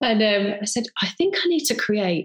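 A woman with an unremarkable speaking voice, medium pitch and a fairly quick pace. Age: 30s. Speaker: model and presenter. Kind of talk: casual chat.

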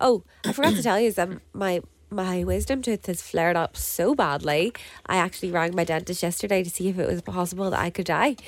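With a Northern Irish accent and vocal fry, a woman talks at a very fast pace with ordinary pitch variation. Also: medium pitch for a woman. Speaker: podcast co-host. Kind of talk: casual chat.

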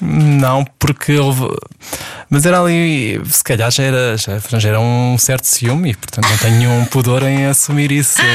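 Moderate pace, ordinary pitch variation and very even loudness. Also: man, medium pitch for a man. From Portugal, Setúbal. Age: 40s. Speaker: ballet dancer and choreographer. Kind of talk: interview. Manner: halting.

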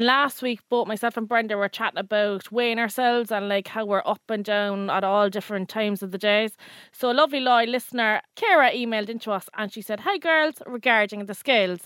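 With an Irish accent, a woman speaks at a fairly high pitch and a fairly quick pace, with hardly any pauses. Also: ordinary pitch variation. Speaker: podcast co-host. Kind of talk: casual chat.

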